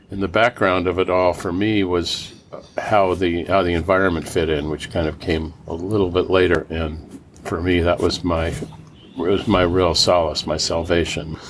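Noticeable background noise sits behind a man whose very deep, low voice stays monotone and flat. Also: moderate pace. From Los Angeles, California. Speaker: solar energy entrepreneur. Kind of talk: interview storytelling.

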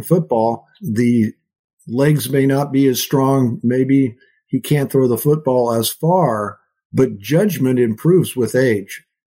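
In a dark, mellow tone, a man with an American accent talks at a fairly slow pace, his pitch fairly high and its variation ordinary. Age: 70s. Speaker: neurosurgeon and professor. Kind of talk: interview.

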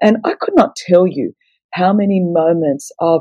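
A woman talks in a dark, mellow tone at a fairly low pitch. The sound is dry and close, with no echo. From Australia. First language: Greek. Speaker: evangelist and author. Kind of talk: casual interview.

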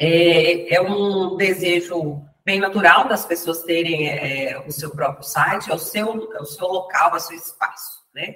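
A woman's fairly low voice at a very slow pace, with hardly any pauses, fairly even intonation and big swings in loudness. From Brazil, Minas Gerais (Zona da Mata, Ponte Nova). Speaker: entrepreneur, founder of a digital food platform. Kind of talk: interview.

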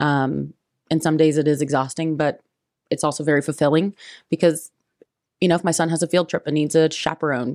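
A woman with an American accent speaks at a very deep, low pitch in a monotone, flat intonation, at a fairly quick pace broken by long, frequent pauses. The very clean recording has a silent background and a dry, close sound with no echo. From Indiana, US Midwest. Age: 20s. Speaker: real estate agent. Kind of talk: interview.

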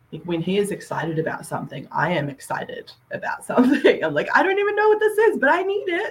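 Very fast speech in an Australian accent. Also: woman. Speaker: hobby book YouTuber. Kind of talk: casual chat. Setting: video call. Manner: chatty, many fillers.

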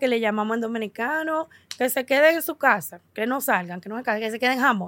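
A woman's high voice on a very clean recording with a silent background. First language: English (speaking Spanish). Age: 40s. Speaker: podcast host. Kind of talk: casual chat.

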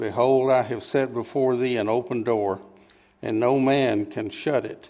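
In a very clean recording with a silent background, a man uses a normal speaking voice. His pitch is medium with ordinary variation, and his pace is fairly slow. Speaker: scripture reader. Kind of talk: reading aloud. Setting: church.

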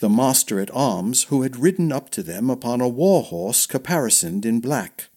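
Simple, plain reading aloud.

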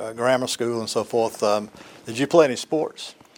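A man's normal speaking voice at a moderate pace. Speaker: oral history interviewer. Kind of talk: interview. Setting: judge's chambers interview.

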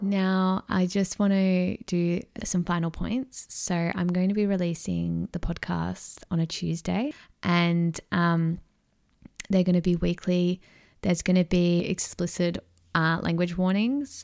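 A woman speaks in a strong Australian accent with fairly low pitch, fairly even intonation, and a fairly slow pace. The recording is very clean with a silent background. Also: very even loudness. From Australia, Melbourne. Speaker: podcast host, mindset coach. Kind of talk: casual solo monologue.

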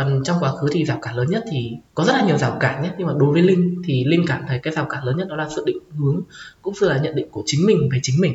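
A woman's very deep, low voice at a very fast pace, lively intonation, over noticeable background noise. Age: 20s. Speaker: transgender student sharing coming-out story. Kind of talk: interview. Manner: halting.

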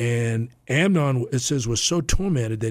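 A man's somewhat breathy voice with lively intonation, on a very clean recording with a silent background. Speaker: football coach and Bible teacher. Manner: informal, halting, repeats words.

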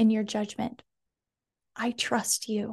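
A woman's somewhat breathy, dark, mellow voice at a very slow pace. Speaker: wellness coach and podcast host. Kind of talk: warm, uplifting pep talk spoken straight to the listener. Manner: earnest and sincere, steady and reassuring.

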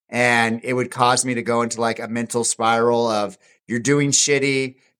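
Against a silent background on a very clean recording, a man speaks at a medium pitch in a monotone, flat intonation. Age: 40s. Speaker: ultra runner. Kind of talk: casual chat.

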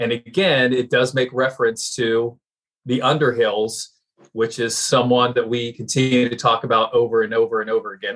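Here a man talks in an unremarkable speaking voice. His pitch is medium, with fairly even intonation. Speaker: co-host. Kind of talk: casual banter, mock sports commentary.

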